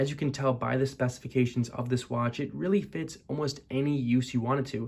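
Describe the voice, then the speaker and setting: A quiet man talks at a fairly quick pace. His pitch is medium and his intonation fairly even. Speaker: watch reviewer. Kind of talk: product review talk to camera. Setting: college dorm room. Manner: monotone, quiet; hushed, not loud.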